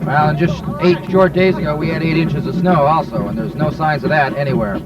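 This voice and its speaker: Noticeable background noise accompanies a man talking at a very fast pace. His pitch is fairly high, with ordinary pitch variation. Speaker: sports commentator. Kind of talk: play-by-play football broadcast.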